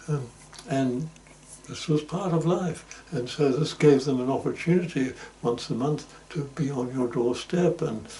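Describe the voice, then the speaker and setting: Pausing long and often, a man speaks at a fairly slow pace with a fairly high pitch and ordinary pitch variation, against noticeable background noise. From Germany, Hamburg. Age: 90s. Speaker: interviewee recounting life story. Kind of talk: oral history interview. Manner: halting, many fillers.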